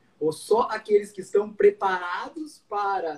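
A man with a high voice, ordinary pitch variation and a very slow pace. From southern Brazil, Rio Grande do Sul interior. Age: 40s. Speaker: medical doctor. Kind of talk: live stream interview. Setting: online live stream.

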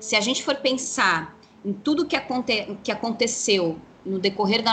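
Noticeable background noise behind a woman's fairly high-pitched, medium-tempo speech. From São Paulo city, east side periphery. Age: 40s. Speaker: witch and tarot reader, teacher. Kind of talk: interview conversation.

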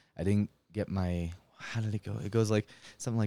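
A man with an ordinary speaking voice and a Canadian accent, fairly low in pitch with ordinary pitch variation and a fairly quick pace, in a dry, close sound with no echo and a very clean recording with a silent background. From Canada, Winnipeg. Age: 20s. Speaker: comedian. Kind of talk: casual chat. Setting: home studio in a basement.

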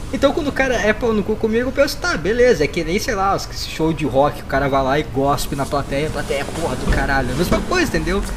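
Over noticeable background noise, a man speaks very fast in a high pitch that swings very widely. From Rio Grande do Sul, Brazil. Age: 20s. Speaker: podcaster. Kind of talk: casual chat.

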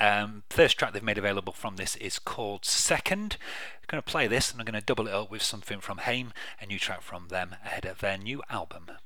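Speaking in a normal speaking voice, a man talks at a fairly quick pace with a fairly low pitch and fairly even intonation. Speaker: radio host. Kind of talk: radio dj patter. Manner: relaxed, chatty, casual.

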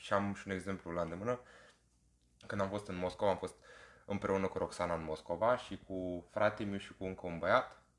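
An unremarkable speaking voice from a man, fairly low in pitch, with fairly even intonation. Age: 20s. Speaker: podcast co-host, corporate PR worker. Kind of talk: casual chat.

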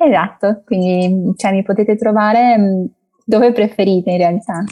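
A woman with a Portuguese accent speaks at a very slow pace and a medium pitch. Her tone is dark and mellow, with fairly even intonation. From Brazil, Brasilia, moved to Italy at six. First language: Portuguese (speaking Italian). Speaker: language content creator. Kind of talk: interview.

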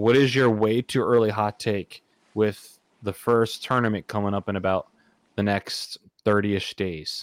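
This man has a normal speaking voice at a fairly low pitch. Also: fairly slow pace. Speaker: podcast host. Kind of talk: casual chat. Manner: joking, upbeat.

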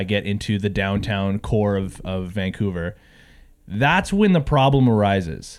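On a very clean recording with a silent background, a man with an unremarkable speaking voice talks at a fairly slow pace, fairly low in pitch, with ordinary pitch variation. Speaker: podcast co-host. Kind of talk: casual chat.

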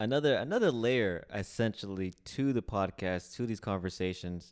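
Very clean recording with a silent background of a man at a fairly low pitch and moderate pace. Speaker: podcast co-host. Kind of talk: casual chat. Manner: heavy breathing into mic.

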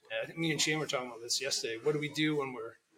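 A man mumbles with a Canadian accent. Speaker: tattoo artist. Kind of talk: casual chat. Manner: mumbling.

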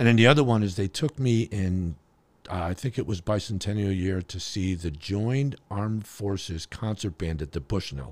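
In a normal speaking voice, a man with an American accent talks at a fairly low pitch and a moderate pace, with lively intonation on a very clean recording with a silent background. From Connecticut. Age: 50s. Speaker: drummer. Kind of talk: casual chat.

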